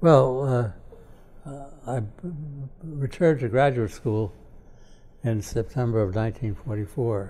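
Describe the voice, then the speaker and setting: With an American accent and a dark, mellow tone, a somewhat breathy man speaks at a very slow pace, leaving long, frequent pauses, his loudness swinging widely while his pitch varies in an ordinary way. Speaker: political philosopher; professor emeritus interviewee. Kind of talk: interview. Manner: halting. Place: home room.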